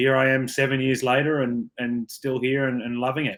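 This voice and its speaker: A man with an Australian accent. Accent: Australian, kept. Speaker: rugby player. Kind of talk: interview.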